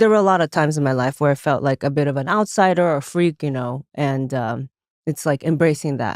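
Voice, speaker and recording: A woman speaks at a fairly quick pace with a non-native accent, her pitch very deep and low with ordinary variation, in a dry, close sound with no echo. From Taiwan. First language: not English. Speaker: comedian. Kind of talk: casual chat.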